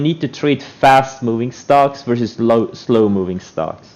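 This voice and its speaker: A man with an Estonian accent, ordinary pitch variation and a moderate pace. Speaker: trader streamer. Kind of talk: live stream commentary. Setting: live stream. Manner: animated.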